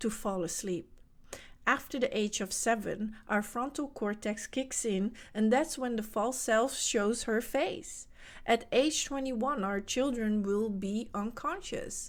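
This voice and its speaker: On a very clean recording with a silent background, a woman with a Dutch accent speaks at a fairly slow pace, her fairly high pitch showing ordinary variation. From Netherlands. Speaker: spiritual coach. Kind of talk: motivational talk.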